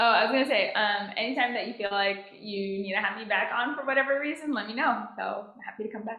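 A woman's fairly high voice at a very fast pace with hardly any pauses and ordinary pitch variation, amid noticeable background noise and audible room echo. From US, DC metro area. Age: 20s. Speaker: marine data and sightings coordinator. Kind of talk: casual interview.

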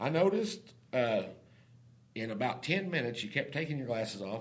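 A man speaks with an American accent. His pitch swings very widely. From Oklahoma. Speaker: oil and gas business owner. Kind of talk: casual interview.

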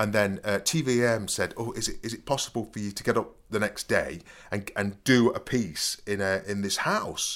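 A man's fairly low-pitched voice at a moderate pace, in a very clean recording with a silent background. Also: ordinary pitch variation. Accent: East Midlands. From Nottingham, England. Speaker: podcast host and storyteller, former fake burglar. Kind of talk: casual chat, storytelling.

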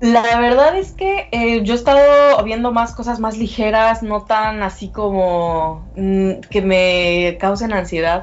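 Speaking at a very slow pace with hardly any pauses, a woman uses a fairly high pitch and ordinary pitch variation. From Mexico. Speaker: sales manager. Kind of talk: remote interview.

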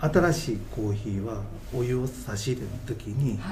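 A man speaking at a fairly slow pace with ordinary pitch variation, noticeable background noise and audible room echo. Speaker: coffee roaster, company president. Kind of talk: casual interview chat. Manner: hesitant, many fillers.

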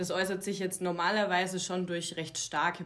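A woman talks in an ordinary speaking voice, keeping a medium pitch and a moderate pace. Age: 30s. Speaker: naturopath for women's health. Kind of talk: casual interview chat.

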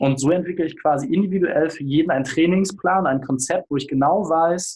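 This is a plain, everyday voice with ordinary pitch variation. It moves at a fairly quick pace. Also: man. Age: 30s. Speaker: business consultant and podcaster. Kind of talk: casual interview.

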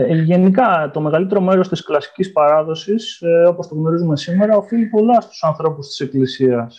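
A man speaks at a moderate pace with hardly any pauses. His pitch is high. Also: ordinary pitch variation. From Greece, Ioannina. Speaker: historian, postdoctoral researcher. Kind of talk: interview.

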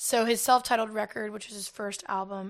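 In a very clean recording with a silent background, a woman with an American accent uses an ordinary speaking voice, fairly high in pitch with ordinary pitch variation. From US South. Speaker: singer-songwriter. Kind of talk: casual chat. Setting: in person.

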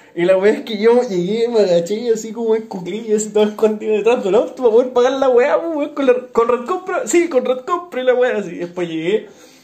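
The voice rushes at a very fast pace with hardly any pauses and lively intonation. Background noise is noticeable. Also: man, extremely high pitch for a man. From northern Chile, Iquique. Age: 20s. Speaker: podcast co-host. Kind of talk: casual chat.

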